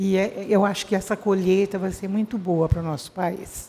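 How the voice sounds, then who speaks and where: The tone is dark and mellow, and the pace is moderate. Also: woman. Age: 80s+. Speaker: retired educator. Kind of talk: ceremony speech.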